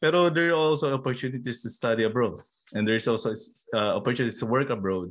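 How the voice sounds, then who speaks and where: Using ordinary pitch variation, a man with a Filipino accent speaks at a medium pitch. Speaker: podcast host. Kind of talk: casual interview chat. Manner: halting, code-switching Taglish with fillers.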